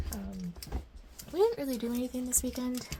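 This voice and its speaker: A woman talks over noticeable background noise. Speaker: crafting YouTuber. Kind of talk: casual chat while tidying. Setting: home craft room. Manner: casual, many fillers; soft-spoken, quiet.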